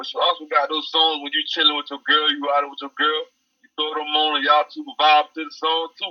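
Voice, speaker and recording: A man with a Georgia accent, very wide pitch swings, and a fairly quick pace. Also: fairly high pitch for a man, big swings in loudness. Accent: Southern US, Georgia country. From Effingham County, Georgia. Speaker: rapper, recording artist. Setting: phone call interview.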